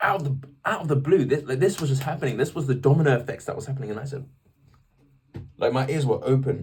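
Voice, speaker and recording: Very fast and somewhat breathy, a man speaks in an animated tone at a fairly high pitch. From England. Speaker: vlogger sharing faith story. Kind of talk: personal testimony. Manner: casual, animated.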